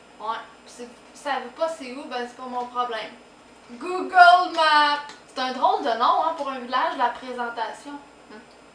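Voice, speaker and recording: Music plays behind a woman who speaks at a high pitch and a fairly slow pace, her tone playful, her pitch varying in an ordinary way and her loudness swinging widely. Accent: Quebec. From Quebec. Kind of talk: casual talk to camera. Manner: spontaneous, playful.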